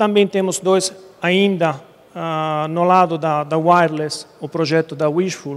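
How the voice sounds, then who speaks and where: A man speaks with an Italian accent at a high pitch. His pace is very slow and his intonation fairly even. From Italy. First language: Italian (speaking Portuguese). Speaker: conference speaker, internet provider engineer. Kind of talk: technical presentation. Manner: halting, many fillers.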